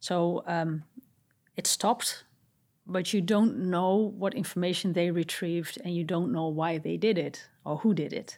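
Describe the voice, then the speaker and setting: A woman's fairly low voice with a Dutch accent, at a fairly slow pace, on a very clean recording over a silent background. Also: ordinary pitch variation. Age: 40s. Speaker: cybersecurity director. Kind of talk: interview. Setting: studio.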